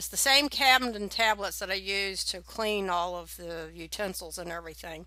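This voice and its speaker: In a very clean recording with a silent background, a woman speaks at moderate pace and medium pitch with a bright, sharp tone, vocal fry, and ordinary pitch variation. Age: 60s. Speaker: home winemaking video maker. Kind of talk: tutorial. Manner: casual, with filler words.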